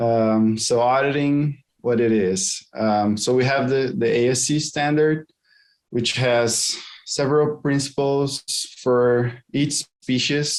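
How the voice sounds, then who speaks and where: A man with a Portuguese accent speaks at a very slow pace in a medium pitch, with fairly even intonation and very even loudness. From Brazil. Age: 20s. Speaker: aquaculture auditor. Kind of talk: career interview. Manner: halting, with fillers.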